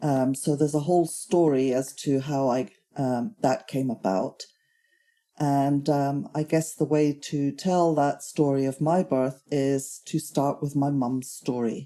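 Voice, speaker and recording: A woman's very deep, low voice with a dark, mellow tone, fairly even intonation and a fairly slow pace over a quiet background. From Germany. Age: 60s. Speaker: Holocaust survivor's daughter. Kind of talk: oral history testimony.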